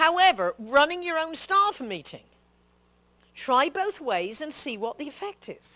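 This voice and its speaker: The voice has a bright, sharp tone and very wide pitch swings. It moves at a moderate pace. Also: woman. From England. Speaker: professional speaker and speech coach. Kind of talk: speaking workshop talk.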